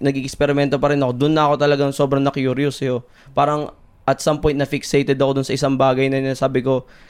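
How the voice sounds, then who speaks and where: Very even in loudness, a man with a fairly high pitch speaks at a very fast pace in a monotone, flat intonation. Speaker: chef. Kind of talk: casual chat.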